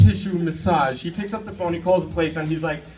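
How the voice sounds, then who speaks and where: A man with an American accent talks fairly quickly at a high pitch, with noticeable background noise and audible room echo. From New York. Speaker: stand-up comedian. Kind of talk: stand-up. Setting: stage with audience. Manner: animated.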